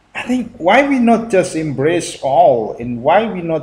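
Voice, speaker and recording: A man with an Indonesian accent, a high pitch, very wide pitch swings and a very slow pace. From Indonesia (Central Java, Purworejo). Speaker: YouTuber reacting to video. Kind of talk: video reaction commentary. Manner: halting, many fillers.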